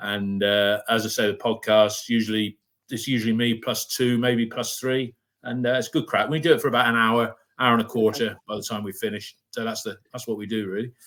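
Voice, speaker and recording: In a very clean recording with a silent background, a man with a West Country accent speaks at a fairly quick pace, his medium pitch held in a monotone, flat intonation. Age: 60s. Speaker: fan podcast host. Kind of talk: casual chat.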